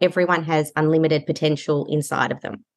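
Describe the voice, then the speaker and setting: A woman with an Australian accent has a very deep, low pitch and fairly even intonation. The background is quiet. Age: 40s. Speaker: kinesiologist and healing practitioner. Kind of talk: podcast interview.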